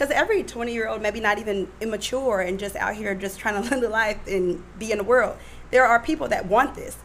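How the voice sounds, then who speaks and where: A woman talks at a fairly quick pace with ordinary pitch variation. Background noise is noticeable. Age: 30s. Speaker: guest, single churchgoer. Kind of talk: casual chat. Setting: studio.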